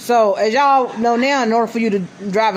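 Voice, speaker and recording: Noticeable background noise sits under this woman's voice. She has a fairly high pitch and ordinary pitch variation. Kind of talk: casual interview host.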